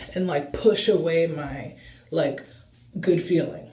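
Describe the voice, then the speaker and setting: Over noticeable background noise and audible room echo, a man talks at a very slow pace, his pitch fairly high and his intonation fairly even. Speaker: spiritual self-help vlogger. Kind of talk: casual vlog monologue.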